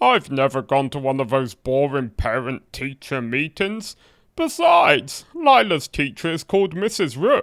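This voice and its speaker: A man puts on a character voice at a fairly high pitch and moderate pace, in a very clean recording with a silent background. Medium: machinima.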